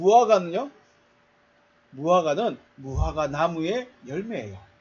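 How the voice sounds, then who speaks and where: This man speaks with a high voice. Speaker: pastor. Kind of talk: sermon.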